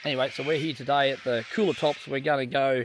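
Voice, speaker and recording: A man talks at a fairly quick pace with an Australian accent and fairly even intonation. Noticeable background noise runs behind him. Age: 50s. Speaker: outdoor travel vlogger. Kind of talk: casual chat. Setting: outdoors.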